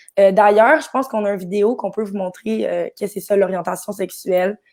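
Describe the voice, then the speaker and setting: Very fast, fairly even speech from a woman at medium pitch. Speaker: actress. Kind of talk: live stream chat. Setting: Facebook live.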